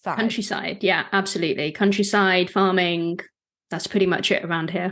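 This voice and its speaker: Talking at a moderate pace, a woman with a medium pitch and a British accent uses monotone, flat intonation. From southwest England, rural. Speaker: business and marketing coach. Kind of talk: podcast interview.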